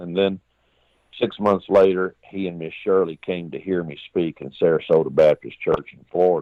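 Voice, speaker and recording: With a Texan accent, a man speaks. His pace is moderate. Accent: Texas Southern. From Texas, Austin. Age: 60s. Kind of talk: interview storytelling. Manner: animated, folksy.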